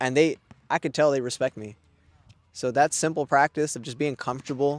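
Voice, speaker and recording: A man's unremarkable speaking voice, fairly high in pitch, fairly quick, with fairly even intonation and big swings in loudness, in a dry, close sound with no echo and a very clean recording with a silent background. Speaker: podcast host. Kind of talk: casual chat. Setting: outdoors in a park.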